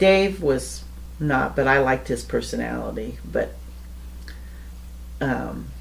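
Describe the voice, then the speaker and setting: With an American accent, a woman speaks at a very slow pace, with long, frequent pauses. Audible room echo is present. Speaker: interviewee recounting life story. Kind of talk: casual storytelling interview.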